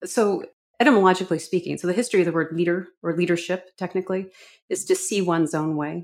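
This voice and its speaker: Recorded very cleanly against a silent background, a woman talks very fast at a medium pitch with fairly even intonation. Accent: slight Canadian. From Vancouver, Canada. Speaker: communications consultant and professor. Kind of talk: interview.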